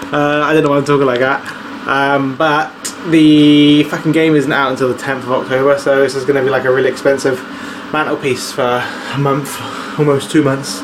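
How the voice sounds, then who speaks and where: Speaking with a British accent at a fairly quick pace, the voice stays monotone and flat, with audible room echo and noticeable background noise. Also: man, fairly high pitch for a man. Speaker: vlogger. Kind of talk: casual vlog talk. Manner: fast.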